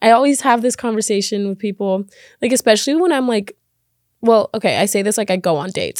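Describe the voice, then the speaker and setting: In a very clean recording with a silent background and a dry, close sound with no echo, a woman talks fairly quickly at a fairly high pitch with ordinary pitch variation. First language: Spanish. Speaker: podcast host. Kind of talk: casual storytelling monologue. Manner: animated, chatty.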